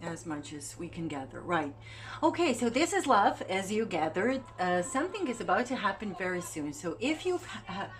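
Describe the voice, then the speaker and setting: Through noticeable background noise, a woman with a medium pitch speaks at a moderate pace with very wide pitch swings. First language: not English. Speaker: tarot reader. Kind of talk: tarot reading. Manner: halting.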